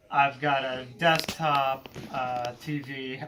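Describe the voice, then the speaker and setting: A man speaks at a fairly high pitch for a man, his intonation fairly even. Noticeable background noise runs underneath. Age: 30s. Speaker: college teacher. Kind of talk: interview answers.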